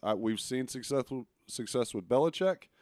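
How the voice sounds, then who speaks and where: A man speaks with a Texan accent. The sound is dry and close, with no echo. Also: very clean recording, silent background. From Texas, Arlington. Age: 30s. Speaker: sports podcast co-host. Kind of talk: casual chat.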